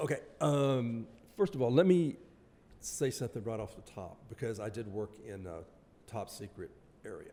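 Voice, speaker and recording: With a dark, mellow tone and medium pitch, a man talks at a moderate pace, leaving long, frequent pauses, his loudness swinging widely and his intonation lively. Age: 70s. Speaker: retired army veteran and author. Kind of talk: podcast interview. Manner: halting.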